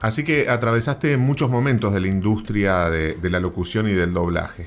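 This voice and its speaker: A man with a normal speaking voice, fairly low in pitch, with lively intonation, very even loudness and a moderate pace. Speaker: podcast host. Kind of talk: interview questions.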